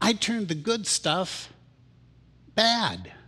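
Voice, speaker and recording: This man's voice has a bright, sharp tone. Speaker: pastor. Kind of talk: worship service leading. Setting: church with congregation. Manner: animated. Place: church. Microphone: headset.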